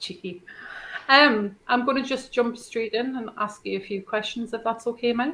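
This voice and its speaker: A woman with ordinary pitch variation against noticeable background noise. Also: fairly high pitch for a woman, moderate pace. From northeast England. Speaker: podcast co-host. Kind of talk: interview.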